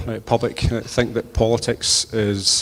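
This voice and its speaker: A man speaks at a medium pitch with a west of Scotland accent. Background noise is noticeable. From Scotland, Inverclyde (Port Glasgow). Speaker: politician, election candidate. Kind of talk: campaign speech at hustings. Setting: church with audience.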